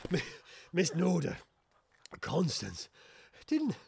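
A man puts on a character voice at a fairly high pitch, speaking at a slow pace with vocal fry, a husky, rough edge and very wide pitch swings. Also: slightly mellow tone.

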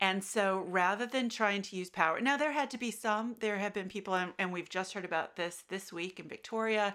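A woman with an American accent speaks at medium pitch and a fairly quick pace, with hardly any pauses and ordinary pitch variation. Her tone is bright and sharp, and the recording is very clean with a silent background. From United States. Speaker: associate professor. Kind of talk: academic interview.

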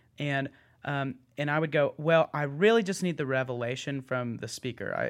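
On a very clean recording with a silent background, a man with an American accent uses a plain, everyday voice, fairly high in pitch with ordinary pitch variation. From Texas (Austin). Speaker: church worship leader. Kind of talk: casual chat.

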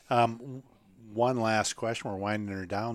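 A man's normal speaking voice, fairly low in pitch, in an American accent, at a moderate pace with ordinary pitch variation, on a very clean recording with a silent background. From Minnesota. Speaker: podcast host at a hop supplier. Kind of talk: casual interview chat.

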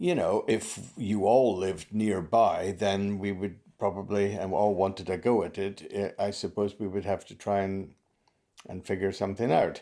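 In a Scottish Highland accent, a man with a fairly low pitch and a dark, mellow tone speaks at a moderate pace with fairly even intonation. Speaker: farmer. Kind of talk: interview.

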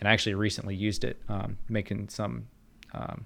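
Vocal fry with ordinary pitch variation. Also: man. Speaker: guest, video game sound designer. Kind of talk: casual podcast discussion.

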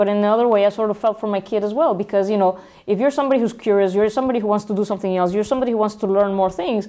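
Her tone is dark and mellow. The woman talks at a very fast pace with fairly even intonation. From Mexico, Guadalajara. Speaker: startup founder and engineer. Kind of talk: casual interview.

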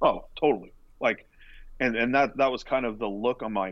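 A man of medium pitch with an American accent and ordinary pitch variation. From California, Central Coast. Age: 40s. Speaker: college baseball pitching coach. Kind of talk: casual interview. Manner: repetitive filler-heavy.

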